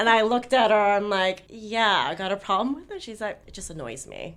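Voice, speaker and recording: This woman sounds animated, at a medium pitch. She talks at a fairly quick pace. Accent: American. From Los Angeles, US. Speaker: podcast co-host. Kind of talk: casual chat.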